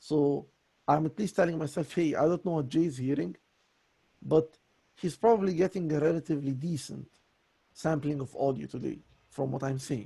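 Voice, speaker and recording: Pausing long and often, a man talks at a moderate pace in a fairly high pitch, his dark, mellow tone somewhat breathy, with ordinary pitch variation. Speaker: voice coaching student. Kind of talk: voice lesson conversation.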